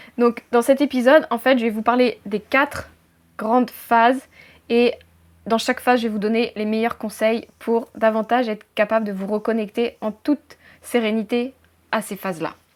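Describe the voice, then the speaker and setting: This woman's voice sits fairly high, with fairly even intonation. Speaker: life coach. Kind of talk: talking-head tutorial video. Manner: loud, fast; choppy.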